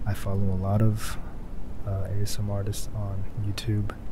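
Noticeable background noise surrounds a man speaking at a moderate pace in dry sound with no echo. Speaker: ASMR creator. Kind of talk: casual talk to camera, first ASMR attempt. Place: home room.

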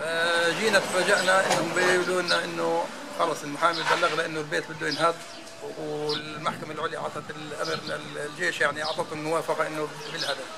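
Loud background noise competes with a man talking at a moderate pace. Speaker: homeowner facing demolition. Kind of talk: interview answer. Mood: worried, aggrieved. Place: street. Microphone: phone near.

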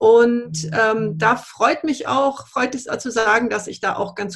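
Over a quiet background, a woman speaks at a fairly slow pace. Her pitch swings very widely. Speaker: politician. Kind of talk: panel discussion. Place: office. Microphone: video call.

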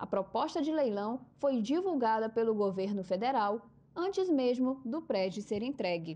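Her voice fairly high and dark, mellow in tone, a woman speaks fairly slowly with very wide pitch swings. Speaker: news presenter. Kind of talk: TV news reading, scripted. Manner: formal, steady; measured, even newsreader pace.

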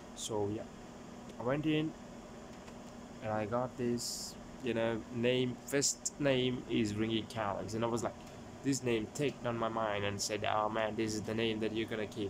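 A man with fairly even intonation, long, frequent pauses, and noticeable background noise. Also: moderate pace. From Sri Lanka. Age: 20s. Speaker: YouTuber; vlogger. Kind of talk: casual vlog; casual vlog chat. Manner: halting. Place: home room. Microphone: phone near.

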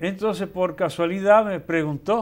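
A high-pitched male voice. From Dominican Republic, Moca; Dominican Republic. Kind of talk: casual chat. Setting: studio. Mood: warm, amused. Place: studio.

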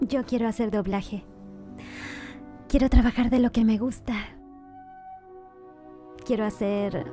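Music plays in the background as a woman speaks with a fairly high pitch and fairly even intonation. She talks at a fairly slow pace with long, frequent pauses. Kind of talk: promo dialogue, scripted advertisement for a dubbing school.

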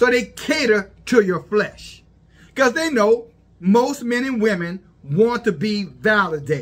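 Intonation rises and falls in a lively way. The man talks at a fairly slow pace. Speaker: religious commentator. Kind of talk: preaching commentary. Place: home room. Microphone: phone near.

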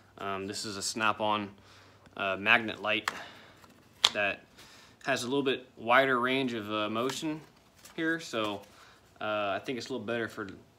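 Against noticeable background noise, a man with a fairly low voice speaks at a moderate pace, showing ordinary pitch variation and long, frequent pauses. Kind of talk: casual tutorial vlog. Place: garage. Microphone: phone near.

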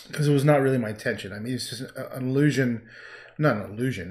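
A man's intonation is fairly even. He moves along at a fairly quick pace. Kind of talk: casual livestream chat. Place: home room. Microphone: camera far.

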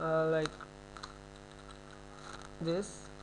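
Noticeable background noise sits behind this clip. A man with a high pitch speaks at a very slow pace. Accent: non-native. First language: not English. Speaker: programming tutor. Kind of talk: screen-recorded coding tutorial. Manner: hesitant, many filler sounds.

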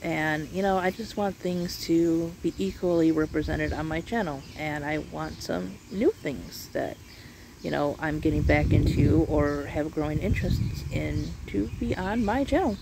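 A woman at a fairly slow pace, in a dry sound with no echo, over loud background noise. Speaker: channel host. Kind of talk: casual vlog chat. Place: open country. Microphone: phone near.

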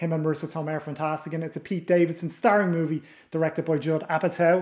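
An Irish-accented man speaks very fast in a monotone, flat delivery against a quiet background. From Ireland. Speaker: podcast host. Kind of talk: casual interview.

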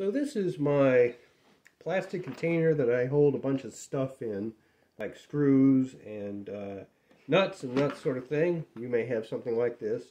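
A man with a dark, mellow tone speaks at a fairly slow pace. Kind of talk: casual show-and-tell. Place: workshop.

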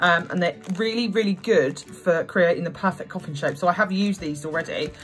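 Over faint music in the background, a woman speaks at a moderate pace. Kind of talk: casual haul vlog chat. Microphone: phone near.

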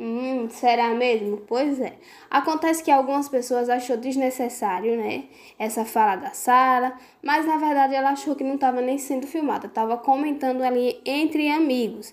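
A woman with a Brazilian accent talks at a moderate pace in a high pitch with ordinary pitch variation. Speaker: celebrity gossip YouTuber. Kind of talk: gossip video monologue. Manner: animated.

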